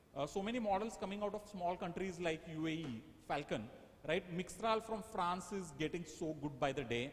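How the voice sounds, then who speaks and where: A man speaks in a high voice with lively intonation. His pace is moderate, and there is noticeable background noise. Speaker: AI workshop speaker. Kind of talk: lecture.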